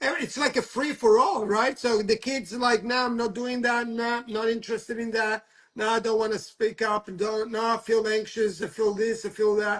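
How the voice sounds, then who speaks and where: Speaking with a non-native accent, a man talks in a high pitch at a moderate pace. His intonation is flat and monotone, with hardly any pauses. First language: not English. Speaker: talk show host. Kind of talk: casual chat. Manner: halting.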